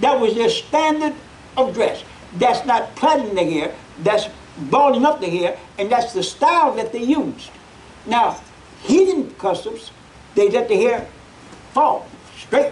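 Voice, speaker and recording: With light background noise behind him, a man talks at a fairly slow pace in an extremely high pitch, with lively intonation and long, frequent pauses. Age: 80s+. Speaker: preacher. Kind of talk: Bible class teaching. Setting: church. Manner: folksy. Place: church. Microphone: podium.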